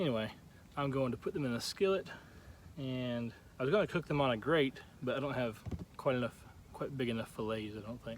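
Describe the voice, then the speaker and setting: This man's medium-pitched voice moves at a fairly quick pace. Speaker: vlogger. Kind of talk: casual vlog narration. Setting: outdoors at a campsite. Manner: quiet so as not to wake friend.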